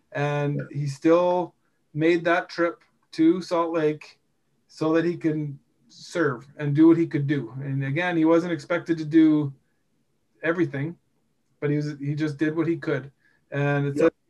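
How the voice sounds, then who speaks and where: A fairly slow, monotone delivery with flat intonation and long, frequent pauses, in a western Canadian accent. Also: man, fairly high pitch for a man. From British Columbia, Canada (Rocky Mountains). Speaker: podcast host, industrial electrician and bishop. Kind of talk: casual religious discussion.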